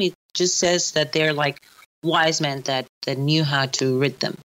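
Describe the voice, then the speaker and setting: The speaker moves at a moderate pace. Pitch varies in an ordinary way. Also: woman. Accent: Spanish. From Chile. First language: Spanish. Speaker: archaeologist. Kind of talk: casual interview chat. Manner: halting, many fillers and restarts.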